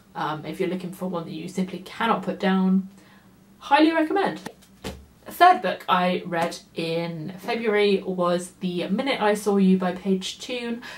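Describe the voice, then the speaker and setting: A woman speaks at a fairly slow pace in a medium pitch with ordinary pitch variation. Noticeable background noise runs under her voice. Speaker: book reviewer. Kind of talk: casual book review vlog.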